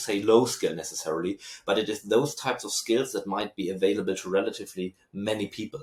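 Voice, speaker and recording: A man with a German accent talks at a very fast pace. His pitch is fairly low, with ordinary variation. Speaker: researcher and lecturer. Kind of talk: interview.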